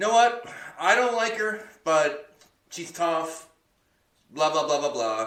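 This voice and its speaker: Audible room echo surrounds a man speaking at a very slow pace with long, frequent pauses. His fairly high pitch moves in very wide swings. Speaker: podcast co-host. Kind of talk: casual chat. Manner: halting.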